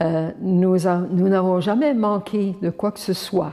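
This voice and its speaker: The speech moves at a very slow pace in a dark, mellow tone with ordinary pitch variation. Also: woman. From Prince Edward Island, Acadian community. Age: 80s+. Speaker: nun. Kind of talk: personal testimony.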